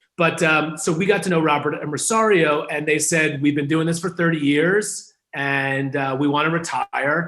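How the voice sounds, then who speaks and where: A man with an American accent talks in an ordinary speaking voice at a fairly high pitch, a moderate pace and fairly even intonation. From New York, Hudson Valley. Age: 30s. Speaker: newspaper owner and brand consultant. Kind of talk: interview. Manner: casual, many fillers.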